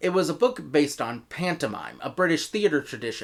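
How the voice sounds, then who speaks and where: On a very clean recording with a silent background, a man with an American accent speaks at a moderate pace with very wide pitch swings. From United States. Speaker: audio drama reviewer. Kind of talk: video review.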